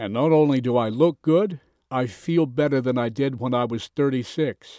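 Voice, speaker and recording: A man speaks at medium pitch in a dark, mellow tone with lively intonation. The very clean recording has a silent background and a dry, close sound with no echo. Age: 60s. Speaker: sales presenter. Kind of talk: sales pitch.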